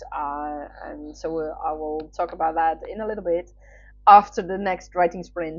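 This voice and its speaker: Here a woman speaks with a Dutch accent. Her pace is moderate and her pitch varies in an ordinary way. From Netherlands. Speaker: writer. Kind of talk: casual chat. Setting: livestream. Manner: hesitant, many fillers.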